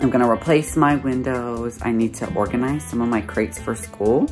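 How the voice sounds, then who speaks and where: With clear music in the background, a man talks at a moderate pace and a fairly low pitch. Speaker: vlogger. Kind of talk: casual vlog chat. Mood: cheerful. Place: home room. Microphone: phone near.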